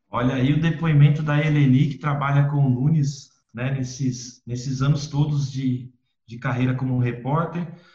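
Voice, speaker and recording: In a room with audible echo, a man with a fairly high pitch and a dark, mellow, somewhat breathy tone speaks at a moderate pace in a monotone, flat intonation. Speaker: podcast host. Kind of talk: interview.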